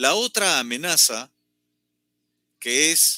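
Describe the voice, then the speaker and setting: The sound is dry and close, with no echo at all. A man's voice carries a bright, sharp tone. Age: 60s. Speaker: political commentator. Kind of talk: political commentary.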